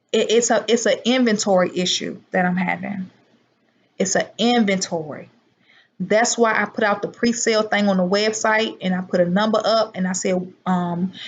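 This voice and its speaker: A woman speaks in a medium pitch, somewhat breathy, with fairly even intonation. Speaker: herbal product seller and livestreamer. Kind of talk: live stream chat with viewers. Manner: slow.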